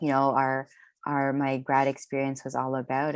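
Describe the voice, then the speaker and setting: A woman against a quiet background. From Philippines. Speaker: artist. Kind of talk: panel discussion. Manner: hesitant, many fillers.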